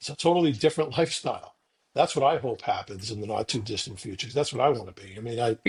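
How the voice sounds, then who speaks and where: A man talks at a very fast pace at a medium pitch, somewhat breathy, with lively intonation and big swings in loudness over a quiet background. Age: 60s. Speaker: podcast co-host. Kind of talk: casual podcast discussion.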